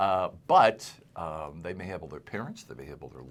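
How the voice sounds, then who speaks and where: With vocal fry and ordinary pitch variation, a man speaks in a very deep, low pitch. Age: 60s. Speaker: estate planning lawyer, podcast host. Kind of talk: casual interview.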